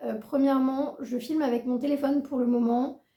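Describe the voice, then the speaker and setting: A woman speaks in a high voice with a dark, mellow tone. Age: 20s. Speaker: book youtuber. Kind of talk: casual vlog talk.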